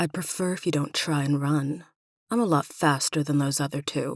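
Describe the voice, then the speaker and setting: Someone speaks in a put-on character voice at a low-to-middle pitch and a moderate pace. The recording is very clean, with a silent background. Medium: read story. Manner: no-nonsense, firm.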